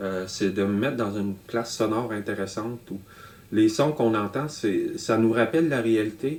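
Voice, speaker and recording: A man speaks with a northern Canadian accent. His pitch variation is ordinary. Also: medium pitch for a man, moderate pace. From Nunavut, Canada. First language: Inuktitut (speaking French). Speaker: electronic musician and artist. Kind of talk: interview monologue. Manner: halting, many hesitations.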